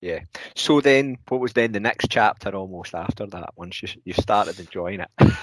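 With a Scottish accent, a man talks at a moderate pace and fairly low pitch, showing ordinary pitch variation and big swings in loudness in a dry, close sound with no echo. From Scotland. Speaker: podcast co-host. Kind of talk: casual interview chat.

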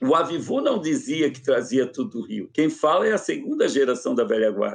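A man speaks at a moderate pace. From Florianópolis, Santa Catarina, Brazil. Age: 50s. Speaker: samba researcher. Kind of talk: interview.

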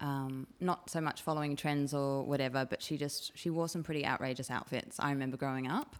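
Very deep, low-pitched woman's voice in an Australian accent, fairly quick and fairly even in intonation, with very even loudness and hardly any pauses. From Sydney, Australia (Chatswood, North Shore). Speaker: op shop coordinator. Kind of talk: casual interview chat. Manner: halting, many fillers.

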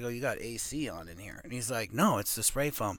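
A man speaks with a bright, sharp tone and vocal fry. The recording is very clean, with a silent background. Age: 50s. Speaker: professional arm wrestler. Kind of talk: casual chat. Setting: studio.

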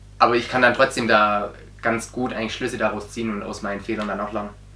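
Noticeable background noise and audible room echo fill this recording. A man talks at a fairly quick pace and medium pitch, his intonation monotone and flat. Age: 20s. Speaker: handball coach. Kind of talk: casual interview. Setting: on camera. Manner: halting, many repetitions and fillers.

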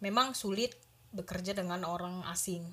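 A woman's somewhat breathy voice moves fairly quickly, her intonation fairly even. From Indonesia, Medan (North Sumatra). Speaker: cook. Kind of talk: casual interview.

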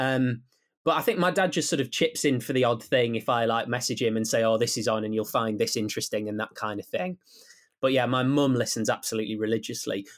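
A man with a Teesside accent, medium pitch and a very fast pace, on a very clean recording with a silent background. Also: ordinary pitch variation. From Teesside, north-east England. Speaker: radio sports presenter. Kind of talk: casual interview chat.

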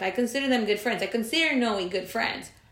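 Audible room echo and noticeable background noise accompany a woman's voice. Her pitch is fairly high, with ordinary pitch variation. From Monterrey, Mexico. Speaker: podcast co-host, real estate lender. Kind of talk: casual chat.

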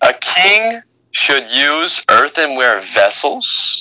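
Put-on character voice from a man, high-pitched and at a very slow pace. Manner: sarcastic.

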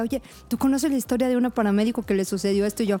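A woman's fairly high-pitched voice. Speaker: paramedic. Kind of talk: casual chat. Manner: animated.

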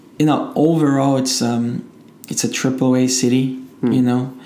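A man with a Portuguese accent speaks at a medium pitch and fairly slow pace amid noticeable background noise. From Brazil, Rio de Janeiro. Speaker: entrepreneur. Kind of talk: casual interview.

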